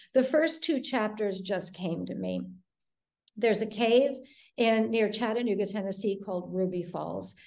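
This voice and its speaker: A woman's medium-pitched voice with an American accent, vocal fry, ordinary pitch variation and a moderate pace. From US Midwest, Detroit. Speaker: thriller author. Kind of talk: interview.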